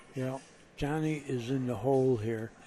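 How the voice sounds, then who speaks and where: Through noticeable background noise, a man speaks at a medium pitch with fairly even intonation. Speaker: pool commentator. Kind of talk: live commentary.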